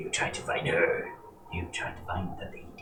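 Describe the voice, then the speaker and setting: A man puts on a raspy character voice at a moderate pace. There is slight echo and clear background noise. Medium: actual play. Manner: broken, simple speech.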